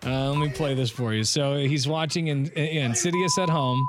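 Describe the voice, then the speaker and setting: Noticeable background noise under fairly quick talking with ordinary pitch variation. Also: man. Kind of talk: radio dj patter.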